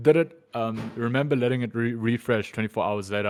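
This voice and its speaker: A man speaks at a very fast pace. His intonation is fairly even. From South Africa, Johannesburg West Rand. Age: 20s. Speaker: streamer. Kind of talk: casual interview chat. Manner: halting, many fillers and repeats.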